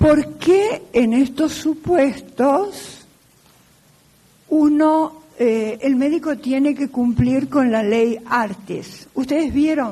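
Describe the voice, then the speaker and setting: A woman speaks very slowly in a high, dark and mellow voice, her intonation lively. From Argentina. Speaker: law professor. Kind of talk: lecture.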